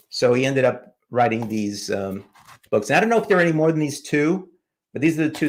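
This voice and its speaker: A man with a New York accent talks at a very fast pace. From New York City. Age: 70s. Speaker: comic book YouTuber. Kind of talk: live stream chat.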